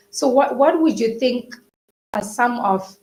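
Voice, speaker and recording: Delivery is fairly slow. Some breathiness runs through the voice. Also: woman. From Zimbabwe. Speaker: webinar host, co-founder of an education company. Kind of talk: live webinar interview. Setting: live online webinar. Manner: enthusiastic.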